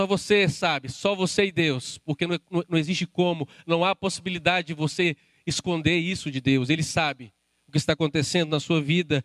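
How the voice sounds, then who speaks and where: The speaker has a Brazilian accent and talks at a moderate pace with fairly even intonation. Loudness stays very even, and the sound is dry and close with no echo. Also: man, high pitch for a man. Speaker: preacher. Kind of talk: sermon, preacher in full flow, pressing the congregation with direct appeals. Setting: church with a live congregation, also streamed online. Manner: impassioned, urgent, emphatic; addresses listeners directly, rising intensity.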